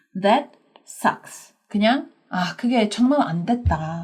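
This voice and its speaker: A woman with an English accent and a somewhat breathy, medium-pitched voice is heard on a very clean recording with a silent background. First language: English (speaking Korean). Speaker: English teacher. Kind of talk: language lesson. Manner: conversational, with filler hesitations.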